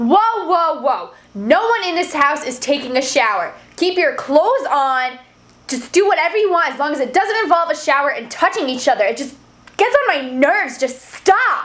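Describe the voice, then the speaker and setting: At a moderate pace, a woman speaks with a high pitch and very wide pitch swings. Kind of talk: comedic rant to camera. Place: home room. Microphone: phone near.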